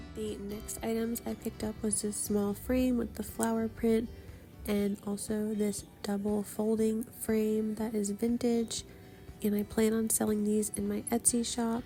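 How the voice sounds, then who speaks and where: Music runs in the background as a woman speaks at a fairly high pitch. Her pace is fairly slow and her intonation monotone and flat. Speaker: small online shop seller. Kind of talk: casual thrift haul voice-over.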